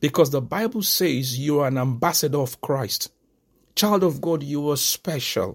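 At a moderate pace, the speech comes through on a very clean recording with a silent background. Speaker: preacher. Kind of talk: sermon. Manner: exhortatory, fervent preacher's delivery; declarative, repeating key phrases for emphasis.

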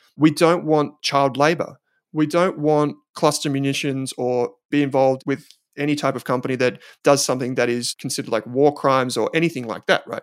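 On a very clean recording with a silent background, a man talks at a fairly quick pace, his fairly high pitch held in fairly even intonation. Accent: Australian. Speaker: investment company founder. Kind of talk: podcast interview.

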